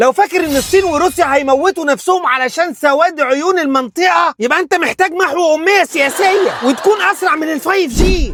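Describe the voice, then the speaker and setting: Through noticeable background noise, a man speaks at a moderate pace with an extremely high pitch and ordinary pitch variation. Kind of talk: satirical political commentary. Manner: sarcastic, street-style.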